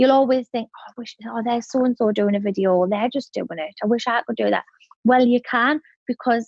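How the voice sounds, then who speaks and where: A woman speaks with a northern English accent at a fairly quick pace. Her pitch is fairly high and her intonation fairly even. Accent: broad northern English. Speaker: entrepreneur. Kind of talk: podcast interview. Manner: fast.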